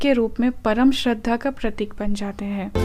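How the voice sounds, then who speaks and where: Her voice sits fairly high in pitch, and this woman's pitch moves in an ordinary way. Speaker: storyteller. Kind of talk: mythology storytelling podcast. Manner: reverent.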